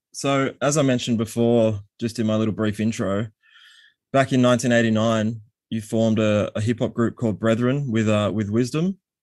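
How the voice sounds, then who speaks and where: With an Australian accent, a man talks at a moderate pace in a medium pitch and fairly even intonation, recorded very cleanly against a silent background. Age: 30s. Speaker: podcast host. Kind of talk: casual interview.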